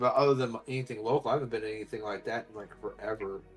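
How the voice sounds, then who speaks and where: With an American accent and medium pitch, a man speaks very fast with fairly even intonation as music plays in the background. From US Midwest. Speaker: military veteran and wargamer. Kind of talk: casual chat.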